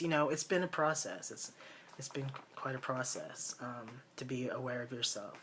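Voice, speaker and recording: A man at a medium pitch, with fairly even intonation and a moderate pace, amid noticeable background noise. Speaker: vlogger. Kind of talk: personal video diary. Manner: halting, many fillers.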